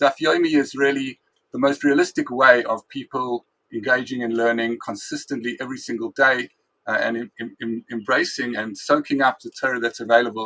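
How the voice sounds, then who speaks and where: Bright and sharp in tone, a man's medium-pitched voice moves at a fairly quick pace with fairly even intonation and big swings in loudness, the sound dry and close with no echo. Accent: South African. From South Africa. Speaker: rabbi and Talmud teacher. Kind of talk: interview.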